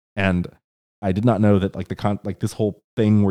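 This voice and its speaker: On a very clean recording with a silent background, a man speaks in a dark, mellow tone with a dry, close sound and no echo. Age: 30s. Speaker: solo podcast host. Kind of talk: casual monologue. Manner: halting, many fillers.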